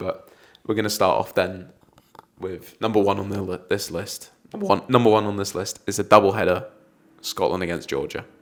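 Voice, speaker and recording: A man talks at a fairly quick pace with an English accent, leaving long, frequent pauses. His fairly low voice stays monotone and flat. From England. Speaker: football podcast host. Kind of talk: casual chat.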